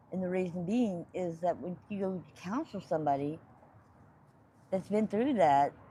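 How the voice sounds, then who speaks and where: A woman speaks at a medium pitch and a fairly slow pace. Her voice is somewhat breathy. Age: 60s. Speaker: homeless woman. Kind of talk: street interview.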